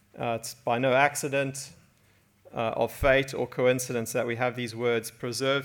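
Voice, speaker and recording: A man of medium pitch speaks at a moderate pace with monotone, flat intonation. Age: 40s. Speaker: preacher. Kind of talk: sermon.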